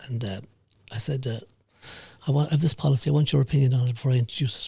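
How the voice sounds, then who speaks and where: Speaking at a medium pitch with ordinary pitch variation, a man has a dark, mellow tone that is somewhat breathy. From Ireland, County Mayo. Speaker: business founder and HR consultant. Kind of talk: podcast interview. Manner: halting.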